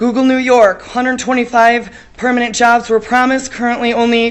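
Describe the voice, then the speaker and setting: The speaker is a woman with a fairly high pitch. She talks at a fairly quick pace. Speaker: public commenter at council meeting. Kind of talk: public comment speech. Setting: city council meeting. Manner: loud. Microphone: standing far from the mic.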